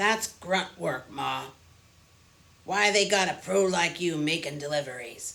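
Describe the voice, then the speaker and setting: A put-on character voice, gruff and raspy, middle in pitch and fairly slow in pace. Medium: read story. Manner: friendly, casual.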